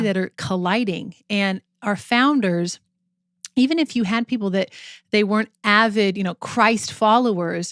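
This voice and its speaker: A woman with a plain, everyday voice speaks at a fairly slow pace and medium pitch with ordinary pitch variation, in a very clean recording with a silent background and a dry, close sound with no echo. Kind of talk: podcast co-host discussion.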